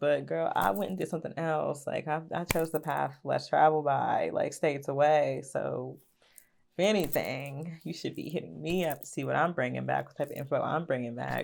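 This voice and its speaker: A woman with an Appalachian accent at a moderate pace, on a very clean recording with a silent background. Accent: country, Appalachian twang. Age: 20s. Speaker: YouTuber. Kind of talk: storytime vlog. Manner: casual, filler-heavy.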